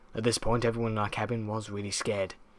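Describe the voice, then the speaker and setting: A man speaks at a fairly quick pace in a monotone, flat intonation. His pitch sits fairly low. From southern England. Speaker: creepypasta narrator. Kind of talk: horror story reading.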